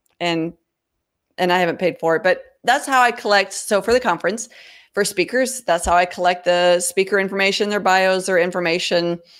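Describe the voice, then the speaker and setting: A woman with a plain, everyday voice talks at a fairly quick pace, her medium pitch showing ordinary variation, on a very clean recording with a silent background. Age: 50s. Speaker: freelancer and nonprofit founder. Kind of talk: interview. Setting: video livestream.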